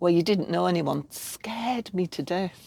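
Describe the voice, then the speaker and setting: With a Yorkshire accent, a woman with a fairly low pitch and a dark, mellow tone speaks at a moderate pace with very wide pitch swings, recorded very cleanly against a silent background. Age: 50s. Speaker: art wellness facilitator. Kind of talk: podcast interview. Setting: campervan.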